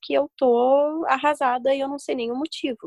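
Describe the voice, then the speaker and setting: The speech comes at a fairly slow pace in a dry, close sound with no echo, on a very clean recording with a silent background. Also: woman. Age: 20s. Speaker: university student. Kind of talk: casual chat.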